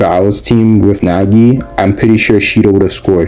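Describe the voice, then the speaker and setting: With music in the background, a man talks at a fairly low pitch with fairly even intonation. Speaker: anime commentary youtuber. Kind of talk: casual video commentary. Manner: hesitant with fillers.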